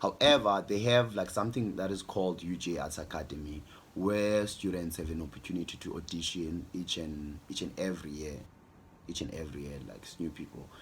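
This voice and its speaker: At a fairly quick pace, a man with a strong South African accent talks in a very deep, low pitch with ordinary pitch variation. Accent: South African, strong; swallows words. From South Africa, Eastern Cape. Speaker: youtuber, media strategist. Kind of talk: casual vlog Q&A. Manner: halting, many repetitions and fillers.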